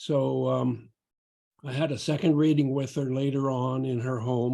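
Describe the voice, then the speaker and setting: At a fairly slow pace, a man with a medium pitch and a dark, mellow tone speaks in a monotone, flat intonation. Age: 80s+. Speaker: retired physician. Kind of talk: class introduction.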